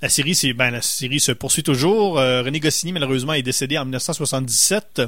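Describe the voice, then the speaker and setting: Here is an ordinary speaking voice at a fairly slow pace. There are hardly any pauses. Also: man, fairly high pitch for a man, ordinary pitch variation. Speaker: radio host. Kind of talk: casual chat.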